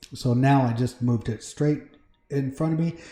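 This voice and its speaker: A man's fairly high, dark, mellow voice comes out somewhat breathy at a very fast pace. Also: quiet background. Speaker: Minecraft livestreamer. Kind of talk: casual livestream chat. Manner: conversational, hesitant with fillers. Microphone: mic moved close to mouth; echo in recording.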